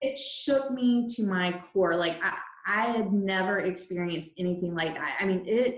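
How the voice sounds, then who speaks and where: A woman with a medium pitch speaks at a fairly slow pace, using ordinary pitch variation. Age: 40s. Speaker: breathwork facilitator and energy coach. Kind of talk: casual chat. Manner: animated.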